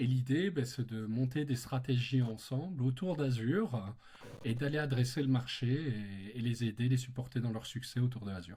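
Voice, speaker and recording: A man's medium-pitched, dark, mellow voice, somewhat breathy, with a slight Belgian accent, ordinary pitch variation and a moderate pace. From Belgium. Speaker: tech company partner manager. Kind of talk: podcast interview.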